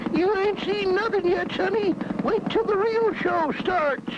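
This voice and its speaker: A cartoonish character voice moves at a moderate pace. Loud background noise runs behind it. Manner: boastful, folksy.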